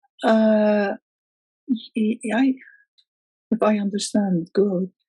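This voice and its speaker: A woman with an Arabic accent has a fairly high pitch and a dark, mellow, somewhat breathy tone. The sound is dry and close, with no echo. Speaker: poet. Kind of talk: interview. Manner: halting.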